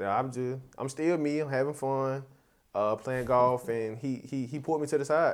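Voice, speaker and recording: Here a man talks at a moderate pace in a medium pitch. His intonation stays fairly even. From Atlanta area, Georgia (Decatur). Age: 20s. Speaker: college graduate, computer engineering. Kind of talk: casual chat.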